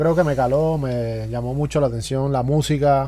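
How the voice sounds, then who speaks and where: A man's fairly high, dark, mellow voice in a Cuban accent, with fairly even intonation. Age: 40s. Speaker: drummer, music producer and university teacher. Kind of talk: casual interview.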